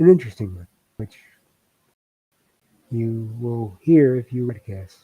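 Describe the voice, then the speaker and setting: Soft-spoken and somewhat breathy, a man talks at medium pitch and a fairly slow pace in a dark, mellow tone, his loudness swinging widely. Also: ordinary pitch variation. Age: 60s. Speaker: writer and live streamer. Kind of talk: casual live stream talk. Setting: home desk, live streaming.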